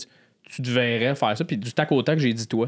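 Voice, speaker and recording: A man with a Quebec accent at a medium pitch, moderate pace and fairly even intonation, against a quiet background. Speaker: podcast host and comedian; podcast host, comedian. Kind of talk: casual interview. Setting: studio. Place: studio. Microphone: studio mic.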